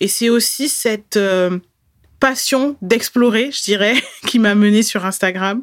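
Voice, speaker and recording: In a dry, close sound with no echo, a woman with an unremarkable speaking voice talks at a moderate pace with fairly even intonation. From France, Bordeaux. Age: 30s. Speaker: podcast host, Instagram coach. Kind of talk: solo podcast monologue.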